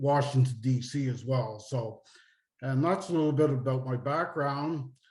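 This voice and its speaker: A man talks at a moderate pace in an Eastern Canadian accent, his pitch medium. His voice is somewhat breathy, and his intonation stays fairly even. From Nova Scotia, Canada. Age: 60s. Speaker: retired finance executive and author. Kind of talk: interview.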